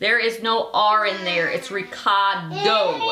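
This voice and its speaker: Over noticeable background noise and audible room echo, a woman speaks very slowly in a raised, projected voice. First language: Belizean Creole. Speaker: cooking show host. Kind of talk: cooking tutorial. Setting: home kitchen. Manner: casual, chatty.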